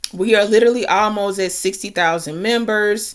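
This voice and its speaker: An unremarkable speaking voice from a woman, medium in pitch, with ordinary pitch variation at a moderate pace. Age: 30s. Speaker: online marketer and content creator. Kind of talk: screen-share tutorial walkthrough. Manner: casual, conversational.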